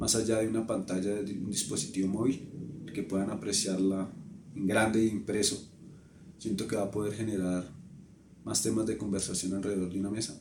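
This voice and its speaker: The speech moves at a moderate pace with fairly even intonation. Audible room echo surrounds it. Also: man. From Colombia. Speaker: photographer. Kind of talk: interview.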